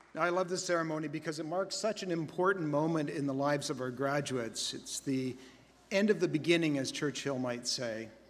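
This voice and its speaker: With an ordinary speaking voice, a man talks at a fairly quick pace in a fairly high pitch with ordinary pitch variation. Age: 60s. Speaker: college president. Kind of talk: commencement speech. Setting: convocation ceremony with audience.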